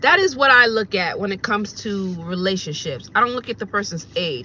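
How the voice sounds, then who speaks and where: At a moderate pace, a woman with a fairly high pitch sounds bright, sharp and animated, with ordinary pitch variation. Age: 40s. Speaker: vlogger and rideshare driver. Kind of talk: casual vlog monologue.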